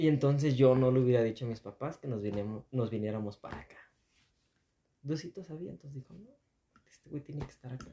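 A somewhat breathy man's dark, mellow tone at a fairly quick pace, with big swings in loudness and ordinary pitch variation. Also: medium pitch for a man. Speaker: podcast host. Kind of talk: casual chat.

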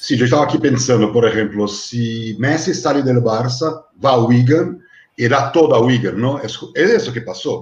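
A man speaks with a Portuguese accent in a somewhat breathy voice. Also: medium pitch for a man, ordinary pitch variation, fairly slow pace. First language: Portuguese (speaking Spanish). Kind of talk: panel discussion moderating.

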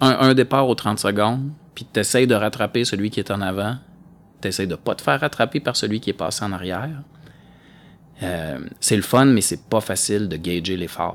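On a very clean recording with a silent background, a man with a Quebec accent speaks at a fairly low pitch and a moderate pace, with lively intonation and long, frequent pauses. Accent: Québécois French. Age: 40s. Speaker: amateur cross-country racer. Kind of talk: casual chat.

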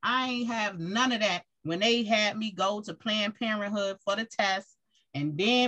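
This woman's fairly high voice moves at a moderate pace, its pitch varying in an ordinary way. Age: 40s. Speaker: radio host. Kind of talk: casual chat.

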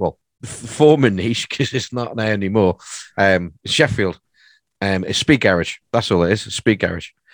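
A man's plain, everyday voice, fairly low in pitch, at a moderate pace with ordinary pitch variation, in a dry, close sound with no echo. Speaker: podcast co-host and DJ. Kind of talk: casual podcast chat.

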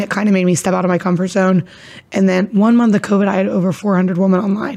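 A woman speaks with an American accent. Her intonation is fairly even. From Ohio (Caldwell). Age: 20s. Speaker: gym owner, fitness instructor. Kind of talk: casual interview chat.

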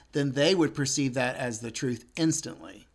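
Speaking with an American accent and an unremarkable speaking voice, a man talks fairly quickly at a fairly high pitch with ordinary pitch variation, on a very clean recording with a silent background. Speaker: podcast co-host or guest. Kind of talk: casual conversation. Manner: rambling, many filler words.

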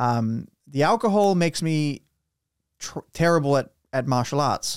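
A man with a New Zealand accent is heard on a very clean recording, dry and close with no echo and a silent background. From Romania. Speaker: podcast host. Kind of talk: casual chat. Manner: excitable.

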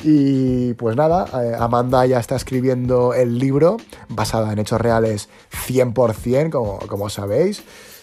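Music plays behind a man of medium pitch who talks in an animated tone at a fairly slow pace. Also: ordinary pitch variation. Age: 20s. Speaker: podcast host. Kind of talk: casual chat.

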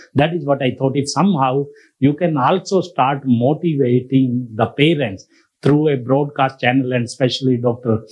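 A man with an Indian accent, medium pitch, ordinary pitch variation and very even loudness. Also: moderate pace. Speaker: audience member.

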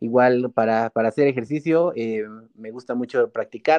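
Recorded dry and close with no echo, a man with an ordinary speaking voice talks at a moderate pace and medium pitch, with ordinary pitch variation. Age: 20s. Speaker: youth political organizer and law student. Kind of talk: interview.

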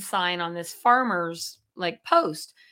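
On a very clean recording with a silent background, a woman speaks in a bright, sharp tone with ordinary pitch variation. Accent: General American. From northern California, Chico. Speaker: real estate broker. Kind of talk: casual interview.

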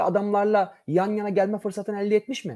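The man's pitch is high. His tone is dark and mellow. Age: 40s. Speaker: football fan radio commentator. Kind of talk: casual chat. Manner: animated.

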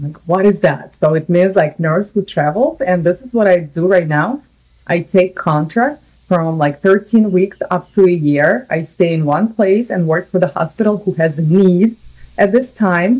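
A woman speaks with a Russian accent in a dark, mellow tone, at a medium pitch and a fairly slow pace, with ordinary pitch variation. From Russia (Samara). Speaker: nurse. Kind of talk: casual interview. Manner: animated.

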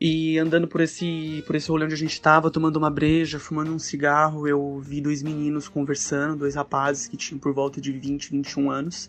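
A man speaks fairly quickly, with hardly any pauses. His fairly high voice keeps a monotone, flat intonation. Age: 20s. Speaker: storyteller sharing a personal experience. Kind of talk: personal narration. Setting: recorded voice message.

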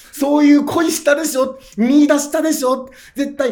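Over audible room echo, a man with an extremely high pitch talks at a moderate pace in an animated tone. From Japan, Aomori (Hachinohe). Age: 30s. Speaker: comedian. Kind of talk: casual interview chat. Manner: animated storytelling.

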